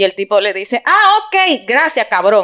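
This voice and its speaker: A woman speaks in an animated tone at a high pitch. Her pace is fairly slow, and her pitch swings very widely. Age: 40s. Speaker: podcast host. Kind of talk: casual chat.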